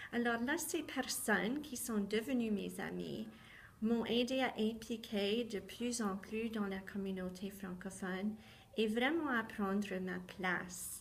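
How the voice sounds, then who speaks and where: A woman's somewhat breathy, fairly high voice at a very slow pace, with ordinary pitch variation and audible room echo. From southwestern Ontario, Canada. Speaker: teacher. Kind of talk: personal testimony talk.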